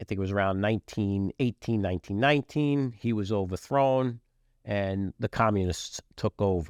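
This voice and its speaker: A man speaks with a normal speaking voice at a moderate pace, in a fairly low pitch. His pitch varies in an ordinary way, and the background is quiet. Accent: American. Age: 60s. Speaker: podcast host, businessman and military veteran. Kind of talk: podcast monologue. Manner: casual, with frequent fillers.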